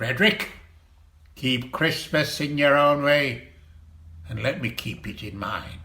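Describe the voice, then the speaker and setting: In a put-on character voice, a man with a fairly high pitch and lively intonation speaks at a fairly slow pace, with big swings in loudness and long, frequent pauses. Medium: stage play. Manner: scornful, grumbling, sarcastic.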